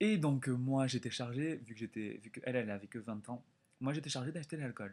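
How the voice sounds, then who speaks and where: The recording is very clean, with a silent background. A man talks fairly quickly. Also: medium pitch for a man, ordinary pitch variation. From France. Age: 20s. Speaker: exchange student vlogger. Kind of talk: casual vlog storytelling. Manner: animated.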